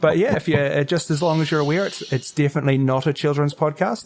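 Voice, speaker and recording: A man with a New Zealand accent talks very fast at a fairly high pitch. His loudness stays very even throughout. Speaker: comedy podcaster. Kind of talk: casual chat.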